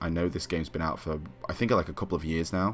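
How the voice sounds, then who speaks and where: A man with a British accent and a very deep, low voice, talking very fast over noticeable background noise. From UK. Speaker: gaming youtuber. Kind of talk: gameplay commentary. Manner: casual, with many fillers (um, like).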